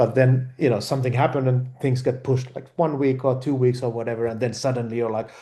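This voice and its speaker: A man's somewhat breathy, medium-pitched voice with a dark, mellow tone, flat monotone intonation, a very fast pace and hardly any pauses. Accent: Finnish. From Finland. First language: Finnish. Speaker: film director. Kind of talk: interview. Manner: halting, many repeated words and fillers.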